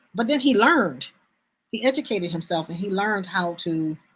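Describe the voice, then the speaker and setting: Speaking at a fairly quick pace, a woman with a medium-pitched, somewhat breathy voice makes very wide pitch swings on a very clean recording with a silent background. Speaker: bookstore owner. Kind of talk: live sales stream. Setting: live stream. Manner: halting.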